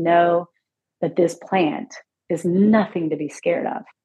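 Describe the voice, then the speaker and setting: At a fairly slow pace, a woman with a normal speaking voice talks using ordinary pitch variation. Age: 50s. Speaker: hemp dispensary co-owner. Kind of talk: casual interview.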